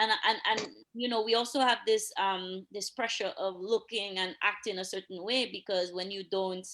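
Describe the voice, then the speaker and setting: Speaking with a Dominican accent, a woman talks with hardly any pauses. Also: medium pitch for a woman, moderate pace. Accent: Dominican accent, noticeable. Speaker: police officer. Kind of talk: casual chat. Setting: live stream. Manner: animated.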